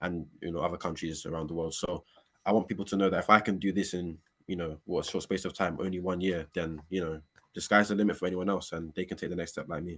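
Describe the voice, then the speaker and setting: Very deep and low in pitch, a man speaks at a very fast pace with monotone, flat intonation. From London, England. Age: young. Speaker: American football player. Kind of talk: interview. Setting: walking outdoors.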